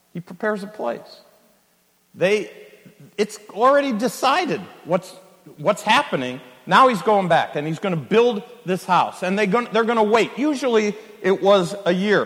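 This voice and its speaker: A high-voiced man with an American accent talks at a moderate pace with ordinary pitch variation, leaving long, frequent pauses. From California. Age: 60s. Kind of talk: sermon. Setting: church conference with live audience.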